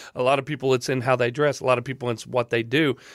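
Speaking with a Southern US accent at a very fast pace, a man at medium pitch comes through on a very clean recording with a silent background. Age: 30s. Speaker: podcast host. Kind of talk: casual chat.

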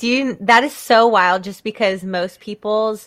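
In a bright, sharp tone, a woman with an American accent is heard on a very clean recording with a silent background. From US South. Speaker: podcast host. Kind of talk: casual chat.

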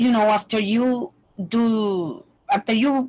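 The voice is female. It has a somewhat breathy sound. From Puerto Rico. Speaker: language teacher. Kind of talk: interview conversation. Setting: remote call.

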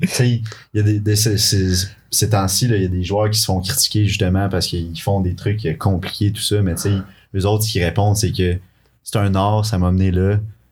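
A man with a fairly low, somewhat breathy voice speaks at a moderate pace in a monotone, flat intonation, in a very clean recording with a silent background. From Quebec City. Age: 20s. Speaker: university soccer player. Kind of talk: casual chat.

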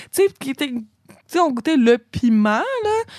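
The sound is close and dry, without echo. A woman is the speaker. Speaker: college radio co-host. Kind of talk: casual chat. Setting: radio studio.

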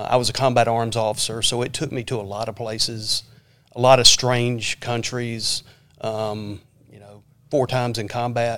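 Speaking in a Southern US accent, a man with a medium pitch talks at a moderate pace in a monotone, flat intonation, with big swings in loudness. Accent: Southern US (Georgia). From US South, Georgia (Lawrenceville, near Atlanta). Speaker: school superintendent, army retiree. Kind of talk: interview. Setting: studio.

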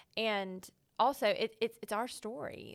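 On a very clean recording with a silent background, a woman with a Texas accent speaks with ordinary pitch variation. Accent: Southern US (Texas). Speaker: Bible teacher and writer. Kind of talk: casual interview about faith.

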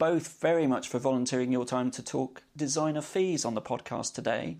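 Against a quiet background, a plain, everyday voice speaks at a moderate pace with fairly even intonation. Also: man. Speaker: podcast host. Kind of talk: scripted intro and moderated interview.

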